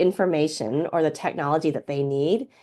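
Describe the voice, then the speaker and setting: A woman with an American accent at a fairly quick pace, quiet background. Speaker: professor and organizing researcher. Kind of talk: lecture. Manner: fast.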